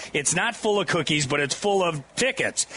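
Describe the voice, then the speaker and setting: A high-pitched man talks at a fairly quick pace with ordinary pitch variation. Noticeable background noise sits behind him. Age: 70s. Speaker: radio host. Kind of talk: live radio broadcast. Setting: outdoor booth at state fair with crowd. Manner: animated.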